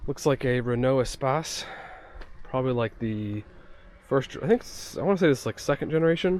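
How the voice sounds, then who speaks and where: Speaking at a fairly quick pace with long, frequent pauses, a man uses a medium pitch and ordinary pitch variation. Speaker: car vlogger. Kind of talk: casual travel vlog commentary. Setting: outdoors at a junkyard.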